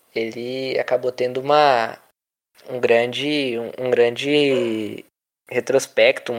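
Long, frequent pauses break up speech that moves at a very slow pace. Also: man. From São Paulo interior, Brazil (Indaiatuba). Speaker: physical education student, football commentator. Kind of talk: casual football discussion podcast.

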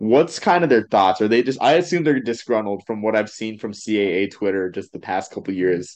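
In a plain, everyday voice, a man with an American accent talks at a fairly quick pace and a fairly low pitch, with lively intonation, hardly any pauses, and a quiet background. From Massachusetts. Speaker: podcast host. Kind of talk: casual chat.

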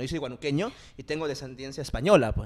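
A man rattles off his words at a very fast pace in a very clean recording with a silent background. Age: 20s. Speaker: podcast host. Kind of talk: casual chat.

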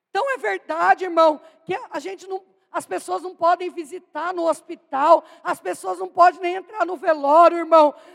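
A woman's extremely high voice with an animated tone and big swings in loudness, at a moderate pace, in a dry, close sound with no echo. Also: ordinary pitch variation. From Brazil, São Paulo state. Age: 40s. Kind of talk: sermon. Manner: animated, exclamatory.

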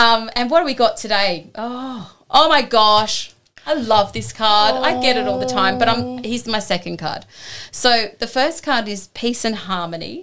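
In a very clean recording with a silent background, a woman speaks at a moderate pace with a fairly high pitch. Her tone is bright and sharp, with lively intonation and vocal fry. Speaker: co-host, Reiki practitioner. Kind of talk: casual chat.

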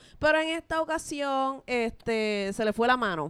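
A woman talks at a fairly slow pace with a Puerto Rican accent. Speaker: podcast co-host. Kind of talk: casual chat.

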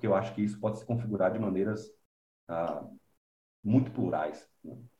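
A man's dark, mellow, somewhat breathy voice carries audible room echo. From Brazil, interior of Bahia. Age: young. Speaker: composer. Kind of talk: interview conversation.

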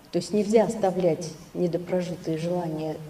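Against noticeable background noise, a woman speaks at a moderate pace. Her intonation is lively. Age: 60s. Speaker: audience member. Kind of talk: asking a question.

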